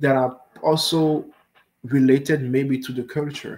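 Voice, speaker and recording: A man's fairly high voice with a French accent. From Benin. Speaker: machine learning researcher. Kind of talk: research talk with Q&A. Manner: halting, many fillers.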